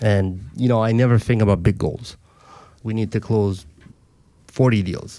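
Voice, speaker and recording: At a moderate pace, a man talks in a fairly low pitch with a dark, mellow tone and fairly even intonation. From Africa, French-speaking. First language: French. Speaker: mortgage broker and team lead. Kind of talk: podcast interview. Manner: confident, conversational.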